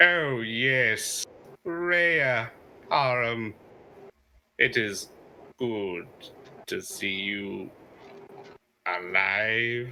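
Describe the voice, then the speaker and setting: The speaker uses a put-on character voice at a very slow pace. Long pauses come often. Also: man, medium pitch for a man. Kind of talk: formal, archaic. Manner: creepy, smiling.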